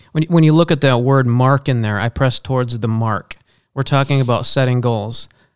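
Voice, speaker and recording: With an unremarkable speaking voice, a man talks at a fairly quick pace at medium pitch with ordinary pitch variation, in a dry, close sound with no echo. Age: 40s. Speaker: minister. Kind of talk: casual chat.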